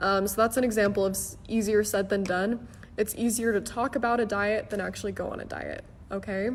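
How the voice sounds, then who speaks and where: A woman speaks at a medium pitch with fairly even intonation in an unremarkable speaking voice. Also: fairly quick pace. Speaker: online English teacher. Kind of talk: live-stream lesson.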